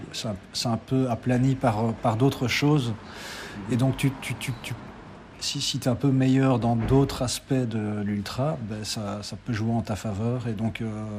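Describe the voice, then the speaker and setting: Speaking at a very slow pace with long, frequent pauses, a man holds a medium pitch and fairly even intonation. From Belgium, Liège area. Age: 40s. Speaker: amateur ultra trail runner. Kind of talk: interview. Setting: café. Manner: halting, many repetitions.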